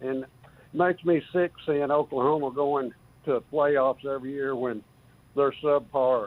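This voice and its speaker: A man with a West Texas accent, fairly high in pitch, fairly slow and fairly even in intonation. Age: 70s. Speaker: caller. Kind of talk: call-in sports talk.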